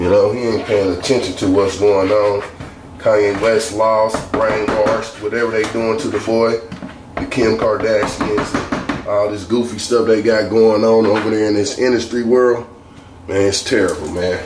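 A man's fairly low, monotone voice with flat intonation at a moderate pace over noticeable background noise. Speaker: home cook vlogger. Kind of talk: casual vlog chat while cooking. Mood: opinionated, ranting. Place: kitchen. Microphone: camera far.

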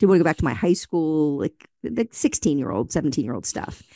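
Over a quiet background with a dry sound and no echo, a woman speaks fairly quickly in a very deep, low voice with lively intonation. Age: 50s. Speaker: author and speaker. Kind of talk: casual chat. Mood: warm, reflective. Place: studio. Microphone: studio mic.

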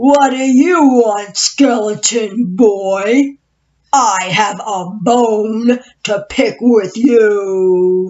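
A woman speaks at a very slow pace. She uses a put-on character voice. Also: fairly high pitch for a woman. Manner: creepy.

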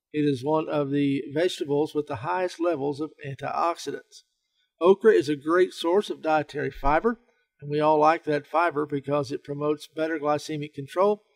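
At a fairly quick pace, a man speaks in a fairly high voice with fairly even intonation. The sound is dry and close, with no echo. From Southern United States. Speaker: health writer and researcher. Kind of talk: informational talk to camera.

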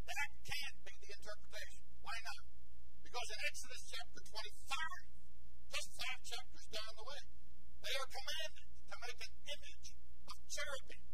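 Amid noticeable background noise, a man talks at a moderate pace with long, frequent pauses. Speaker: bible class teacher. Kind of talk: lecture. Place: classroom. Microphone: lapel.

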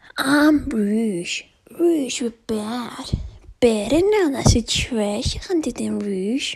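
A female-sounding voice puts on a character voice at a high pitch. The pace is very slow.

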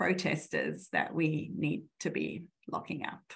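A fairly slow, somewhat breathy female voice. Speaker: law professor. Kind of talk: conference presentation.

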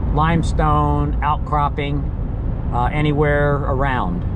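Loud background noise behind a man's speech. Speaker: local vlogger driving. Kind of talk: casual vlog chat. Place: car. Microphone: phone near.

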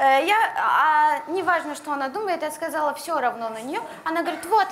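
With a Russian accent, a woman speaks at a high pitch and a moderate pace with lively intonation over light background noise. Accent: Russian-accented Turkish. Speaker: reality show contestant; guest. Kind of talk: reality TV talk. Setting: studio. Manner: halting. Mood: tense, hesitant. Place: studio. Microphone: lapel.

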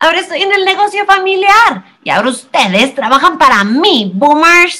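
This woman performs a cartoonish character voice. Her pitch is extremely high. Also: moderate pace. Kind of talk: high cartoon voice. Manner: cheeky, sassy.

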